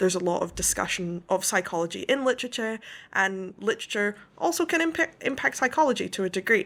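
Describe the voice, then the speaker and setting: Talking at a very fast pace, a woman with a medium pitch makes very wide pitch swings. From west coast of Scotland, rural. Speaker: author. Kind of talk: interview.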